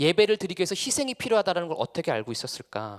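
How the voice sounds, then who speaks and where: A man's high-pitched voice at a very fast pace, dry and close with no echo. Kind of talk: lecture.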